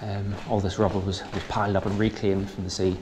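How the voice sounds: A man speaks in a low pitch with a slightly mellow tone and little pitch movement. Faint background noise sits behind him.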